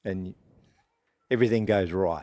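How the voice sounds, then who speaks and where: Moderately paced, a man's dark, mellow voice holds fairly even intonation. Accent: Australian. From Australia. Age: 70s. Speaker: veteran country musician. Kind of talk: casual interview. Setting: inside a tour bus. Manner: halting, with many fillers.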